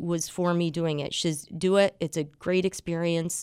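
A woman speaks at a moderate pace in a normal speaking voice, fairly low in pitch. The sound is dry and close with no echo, in a very clean recording with a silent background. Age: 50s. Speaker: fitness instructor and bodybuilding competitor. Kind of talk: radio interview.

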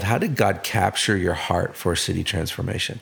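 A man talks at a moderate pace with a fairly low pitch. He has a plain, everyday voice. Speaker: podcast co-host.

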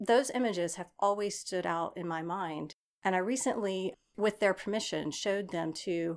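With an American accent, a woman speaks in an ordinary speaking voice at a medium pitch and moderate pace, with ordinary pitch variation, on a very clean recording with a silent background. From East Texas. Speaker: architecture professor. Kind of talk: interview.

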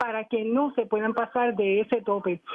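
A man at a fairly slow pace. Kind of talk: phone-in call on talk radio.

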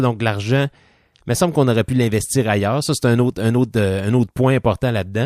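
A man's ordinary speaking voice at medium pitch, fairly quick pace and ordinary pitch variation, with dry, close sound with no echo on a very clean recording with a silent background. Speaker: podcast host. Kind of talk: show outro with supporter thanks; casual chat.

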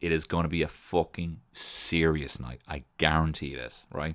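With an Irish accent, a man speaks in a very deep, low voice with vocal fry, an animated tone and ordinary pitch variation. The recording is very clean, with a silent background. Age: 30s. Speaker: podcast host. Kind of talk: casual monologue.

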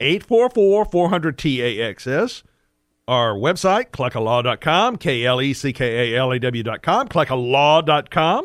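A man speaks with an ordinary speaking voice at a fairly high pitch. He keeps a moderate pace with lively intonation. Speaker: radio host and tax attorney. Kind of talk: radio talk show about taxes. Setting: radio studio broadcast. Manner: conversational, explanatory.

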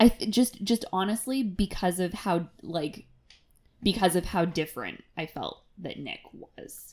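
Somewhat breathy and fairly slow, a woman of medium pitch speaks with ordinary pitch variation and big swings in loudness. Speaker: TV podcast co-host. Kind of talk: casual chat.

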